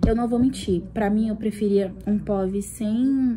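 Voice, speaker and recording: Somewhat breathy, a woman speaks at a medium pitch in a dark, mellow tone. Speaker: book vlogger. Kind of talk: casual vlog.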